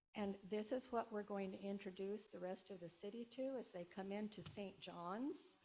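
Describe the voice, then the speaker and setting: A moderate pace carries this speech along. Its tone is dark and mellow, and the pitch varies in an ordinary way. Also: woman. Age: 70s. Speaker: resident giving public comment. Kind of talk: public comment at a community meeting. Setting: in-person meeting room.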